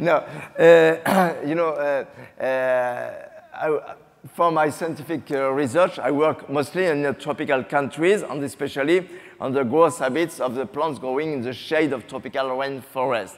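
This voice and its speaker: A man's fairly high-pitched voice against noticeable background noise. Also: ordinary pitch variation, fairly slow pace. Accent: French. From France. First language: French. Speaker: botanist. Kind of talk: panel discussion.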